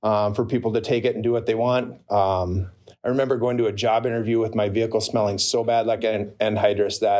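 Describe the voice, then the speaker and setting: A man speaks at a very fast pace in an Upper Midwest accent, his medium pitch monotone and flat. His tone is dark and mellow. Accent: Upper Midwest American. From northern Minnesota. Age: 40s. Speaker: recovering addict, real estate agent. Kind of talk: personal testimony. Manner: halting, many fillers.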